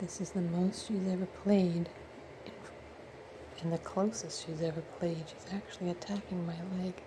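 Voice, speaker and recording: A soft-spoken woman, fairly low in pitch, in a flat monotone at a moderate pace with long, frequent pauses. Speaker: pet owner filming kittens. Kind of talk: casual home video narration.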